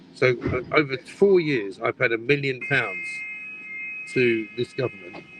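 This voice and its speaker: Over noticeable background noise, a man with an English accent speaks at a fairly slow pace in a medium pitch with lively intonation. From Britain. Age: 60s. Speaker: broadcaster. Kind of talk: casual chat.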